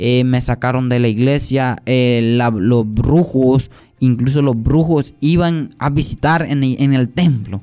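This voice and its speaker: Over music in the background, a man talks at a very slow pace in a medium pitch with fairly even intonation. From Colombia, Sucre and Antioquia. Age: 20s. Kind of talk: testimony.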